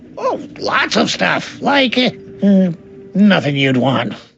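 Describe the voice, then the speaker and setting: Set over faint background music, a cartoonish character voice at middle pitch moves at a fairly slow pace. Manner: mopey, anxious.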